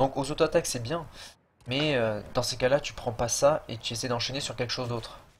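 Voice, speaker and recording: A man's somewhat breathy voice moves along at a fairly quick pace. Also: medium pitch for a man, fairly even intonation. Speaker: gaming youtuber. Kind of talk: gameplay tutorial commentary. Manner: casual, hesitant with fillers.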